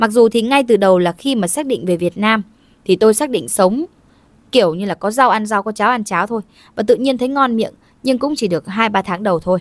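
In a dry, close recording with no echo, very clean and with a silent background, a woman talks at a very fast pace in a fairly high voice with ordinary pitch variation. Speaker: video narrator. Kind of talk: scripted narration. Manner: formal.

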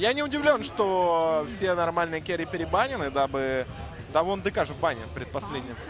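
With lively intonation, a high-voiced man speaks at a moderate pace. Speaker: esports commentator. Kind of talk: live commentary.

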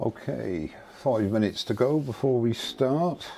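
This man has a dark, mellow tone. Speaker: woodturner hosting live demo. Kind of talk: casual live stream chat. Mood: cheerful, chatty. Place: workshop. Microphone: lapel.

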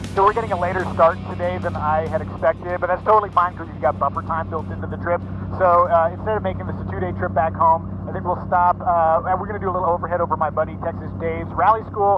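Against music in the background, a man with a fairly low pitch talks at a very fast pace in a dry sound with no echo. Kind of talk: casual vlog chat. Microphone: headset.

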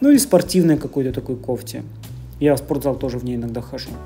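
A woman's voice with faint music in the background. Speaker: vlogger. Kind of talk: casual vlog chat. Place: shop. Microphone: phone near.

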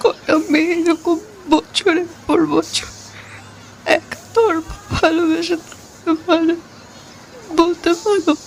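In a put-on character voice, the speaker goes at a fairly slow pace, shaky and extremely high-pitched, with clear background noise behind.

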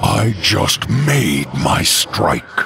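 Using a put-on character voice, a man speaks very slowly at a low pitch with big pitch swings, vocal fry, and a bright, sharp tone.

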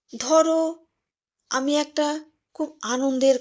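A woman speaks in a high voice. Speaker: storyteller. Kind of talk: personal storytelling narration. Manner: intimate, addressing listener directly.

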